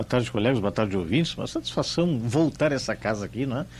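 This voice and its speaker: A man's very fast speech with very wide pitch swings. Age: 60s. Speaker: homeopathic pharmacist. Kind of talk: radio interview.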